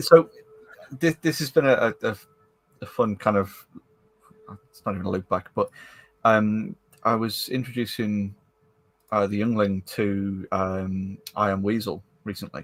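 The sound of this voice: With long, frequent pauses, a man speaks at a fairly slow pace in a fairly low pitch with ordinary pitch variation.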